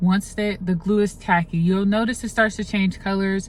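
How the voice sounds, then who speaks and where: Fairly even intonation in a somewhat breathy voice. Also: woman. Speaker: makeup artist. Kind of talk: tutorial. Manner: casual, chatty.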